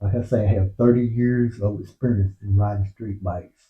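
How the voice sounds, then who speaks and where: A man's fairly low, somewhat breathy voice with fairly even intonation. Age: 60s. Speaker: motorcycle vlogger. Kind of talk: casual monologue. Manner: halting.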